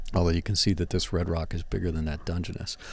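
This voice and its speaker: A man speaks with an East Coast US accent. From US East Coast. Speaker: underwater photographer and video host. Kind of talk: casual commentary over underwater footage. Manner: animated.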